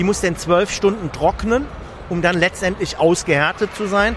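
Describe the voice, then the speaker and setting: There is noticeable background noise behind a man speaking with a high pitch. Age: 60s. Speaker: repair business owner, former dental technician. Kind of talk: interview, technical explanation. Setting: trade fair booth.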